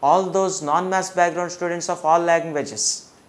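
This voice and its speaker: The speaker has an Indian accent, with noticeable background noise behind the voice. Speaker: maths teacher. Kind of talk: lecture. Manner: slow; halting.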